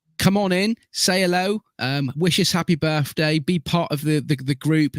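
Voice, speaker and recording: A man speaks with an English accent and ordinary pitch variation. The recording is very clean and silent, with a dry, close sound and no echo. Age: 40s. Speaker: podcast host. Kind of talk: casual chat.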